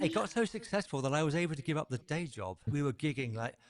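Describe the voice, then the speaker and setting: Speaking very fast with lively intonation, a man with a British accent is heard in a dry, close sound with no echo on a very clean recording with a silent background. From southern England. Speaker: wellness podcaster, former musician. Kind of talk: interview conversation.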